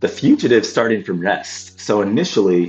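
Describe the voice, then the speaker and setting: Music plays in the background as a man talks with lively intonation at a moderate pace. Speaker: physics tutor. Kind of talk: physics lesson explanation.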